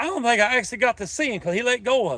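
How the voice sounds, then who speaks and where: Speaking in a North Carolina accent, a man uses an extremely high pitch, a bright, sharp tone, an animated delivery and lively intonation. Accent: Southern US (North Carolina). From North Carolina (Denton). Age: 50s. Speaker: fishing livestreamer. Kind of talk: casual live-stream chat. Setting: outdoors.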